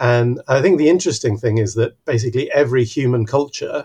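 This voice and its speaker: Somewhat breathy, a man's voice moves at a moderate pace with a quiet background behind it. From Mexico City, Mexico. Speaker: biology professor. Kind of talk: podcast interview.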